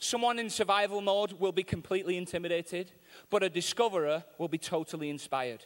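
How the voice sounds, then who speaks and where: With a Mancunian accent, the speaker talks at a fairly quick pace in an animated tone with ordinary pitch variation. The recording is very clean and the background silent. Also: man. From Manchester, England. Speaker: visiting preacher. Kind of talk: sermon. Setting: church with live audience. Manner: humorous, animated.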